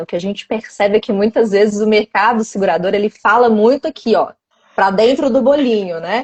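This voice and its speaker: A woman speaks with a Minas Gerais accent. Her pitch is fairly high. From Minas Gerais, Brazil. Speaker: live stream host. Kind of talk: live stream interview.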